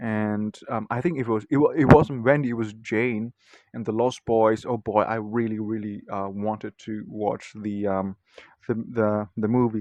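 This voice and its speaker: The speaker has a non-native accent and a fairly slow pace with fairly even intonation. The sound is dry and close, with no echo. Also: man, fairly low pitch for a man. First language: not English. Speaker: video blogger. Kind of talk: casual monologue. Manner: hesitant, many fillers.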